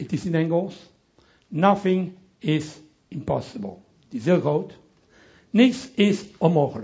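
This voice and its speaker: A man with a strong French accent speaks in a high voice, his pitch moving in an ordinary way. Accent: strong French accent in Dutch. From Belgium, Brussels (Italian family). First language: French (speaking Dutch). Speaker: pastor. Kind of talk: sermon. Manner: halting.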